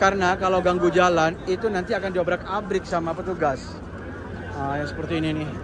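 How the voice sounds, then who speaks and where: A man speaks at a very fast pace and a high pitch. The sound is dry with no echo, though background noise is noticeable. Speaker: vlogger. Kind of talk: travel vlog. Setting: outdoors. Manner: animated. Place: street. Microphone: phone near.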